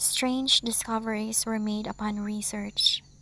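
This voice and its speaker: A woman speaks very slowly at a fairly high pitch. Her intonation stays flat and monotone. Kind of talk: scary story narration for sleep.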